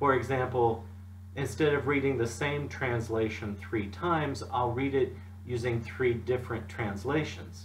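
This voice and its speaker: Over light background noise, a man speaks at a fairly slow pace. His pitch variation is ordinary. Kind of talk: devotional talk. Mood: calm, gentle. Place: home room. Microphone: webcam.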